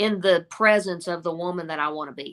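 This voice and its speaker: A woman's medium-pitched voice with an American accent, a bright, sharp tone, ordinary pitch variation and a moderate pace. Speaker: singer, talent show contestant. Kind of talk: interview.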